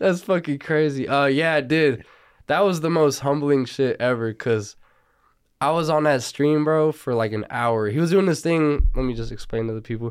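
A man with a Southern California accent talks at a moderate pace in a fairly high pitch, with ordinary pitch variation. The recording is very clean, with a silent background. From Los Angeles, San Fernando Valley (Burbank, Northridge). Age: 20s. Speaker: rapper. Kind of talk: casual interview.

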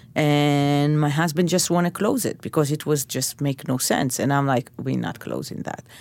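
In a very clean recording with a silent background, a woman with an Israeli accent and a very deep, low pitch talks at a moderate pace with ordinary pitch variation. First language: Hebrew. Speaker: chef. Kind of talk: interview.

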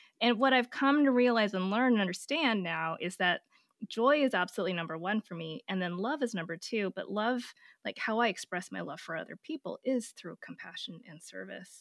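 A woman's ordinary speaking voice with an American accent, fairly high in pitch, at a fairly quick pace with lively intonation and big swings in loudness, dry and close with no echo on a very clean recording with a silent background. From US West Coast. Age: 40s. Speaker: pediatric oncologist and author. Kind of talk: interview, casual conversational.

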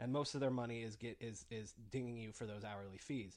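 Against a quiet background, a man talks in an ordinary speaking voice. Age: 30s. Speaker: podcast host. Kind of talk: casual chat.

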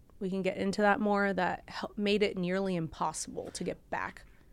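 In a very clean recording with a silent background, a woman speaks. Her pitch is medium and her pace moderate. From Orange County, California (born in Bulgaria). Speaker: podcast guest, ex-fiancee of a late singer. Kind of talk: emotional interview. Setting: studio. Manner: halting.

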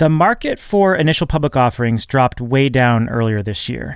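A man with a plain, everyday voice, medium pitch and lively intonation. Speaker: podcast host. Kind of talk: scripted intro and casual interview chat.

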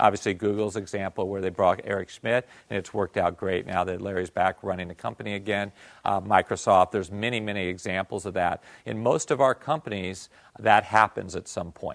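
A man with an American accent and a plain, everyday voice speaks at a fairly quick pace and fairly low pitch with fairly even intonation, in a very clean recording with a silent background. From US Northeast. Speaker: venture capitalist. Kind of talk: lecture. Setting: stage with audience.

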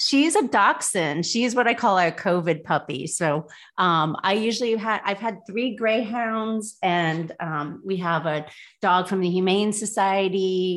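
Against a quiet background, a woman speaks at a fairly slow pace with medium pitch and ordinary pitch variation. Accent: Midwestern US. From Indiana, South Bend. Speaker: dating app founder. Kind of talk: interview.

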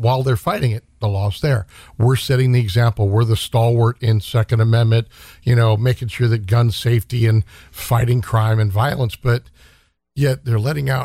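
With an American accent, a man speaks at a fairly quick pace and a medium pitch, somewhat breathy, with ordinary pitch variation. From Stockton, California. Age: 50s. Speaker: gun shop owner and navy veteran. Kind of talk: casual interview chat.

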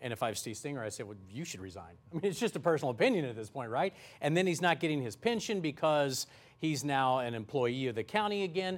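In a very clean recording with a silent background, a man with a fairly high pitch talks at a very fast pace, his pitch swinging very widely. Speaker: TV show anchor. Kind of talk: TV news talk show moderating. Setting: studio.

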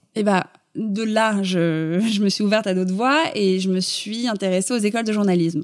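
A woman's ordinary speaking voice at a moderate pace with ordinary pitch variation. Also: medium pitch for a woman. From Paris, France. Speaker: fashion blogger. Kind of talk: interview.

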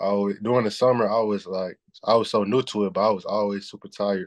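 Fairly quick, monotone speech from a man with a Southern US accent, fairly low in pitch, with flat intonation and a quiet background. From US Southeast. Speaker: college basketball player. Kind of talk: interview.

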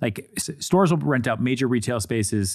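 In a very clean recording with a silent background, a normal speaking voice moves at a moderate pace with lively intonation. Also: man. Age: 30s. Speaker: podcast host and real estate agent. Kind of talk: casual chat.

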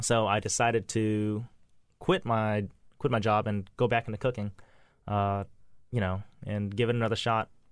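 A man with an American accent, fairly low in pitch, at a moderate pace in a monotone, flat intonation with long, frequent pauses. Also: very clean recording, silent background. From US South, Lafayette, Louisiana. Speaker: chef and restaurant owner. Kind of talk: casual interview.

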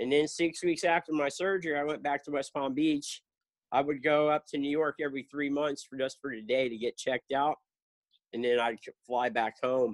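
A man with an American accent has an ordinary speaking voice, a fairly high pitch and fairly even intonation at a moderate pace. The sound is dry and close with no echo, over a quiet background. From South Florida. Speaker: cancer charity founder and skateboarder. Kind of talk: casual interview.

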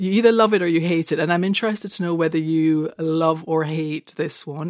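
A woman's plain, everyday voice, fairly low in pitch, at a moderate pace with ordinary pitch variation. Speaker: screenwriter and novelist. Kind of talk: casual chat.

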